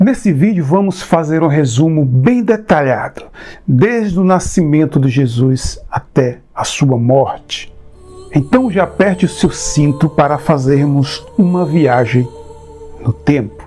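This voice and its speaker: Very slowly and at very even loudness, a man speaks with lively intonation and a fairly high pitch while music plays in the background. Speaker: channel owner and presenter. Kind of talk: casual talk to camera, video intro.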